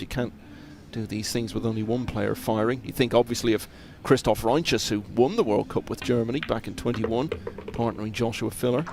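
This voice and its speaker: A man at a medium pitch and fairly quick pace, with fairly even intonation over noticeable background noise. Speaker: pool commentator. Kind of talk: live commentary.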